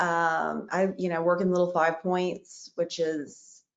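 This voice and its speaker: A woman with a fairly low pitch and a fairly slow pace, an ordinary speaking voice. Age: 40s. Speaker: store owner. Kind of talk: panel discussion.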